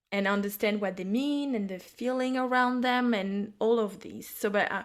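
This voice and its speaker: A woman speaks with a French accent. Her fairly high voice keeps a fairly even intonation. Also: moderate pace. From France. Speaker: psychic and intuitive business mentor. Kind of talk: casual chat. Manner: halting.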